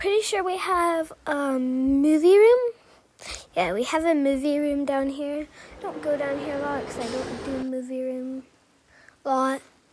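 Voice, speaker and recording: Lively intonation from a woman with a high voice, at a moderate speed, noticeable noise in the background. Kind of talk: casual narrated house tour.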